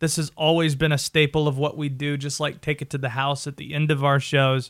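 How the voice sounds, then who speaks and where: A man with an American accent speaks in an animated tone on a very clean recording with a silent background. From North Carolina. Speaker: radio sports host. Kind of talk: radio host patter, playful top-10 bit. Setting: radio studio. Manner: animated, jokey, punchy.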